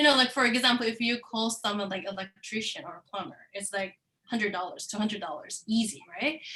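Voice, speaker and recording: With a Korean accent, a woman talks fairly quickly at a fairly high pitch, showing ordinary pitch variation and big swings in loudness. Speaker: course participant. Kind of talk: online class discussion.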